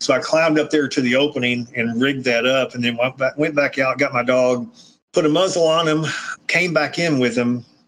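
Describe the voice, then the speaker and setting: An unremarkable speaking voice from a man at medium pitch, fairly quick, with very even loudness and fairly even intonation. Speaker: retired police K9 handler and trainer. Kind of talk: casual interview conversation.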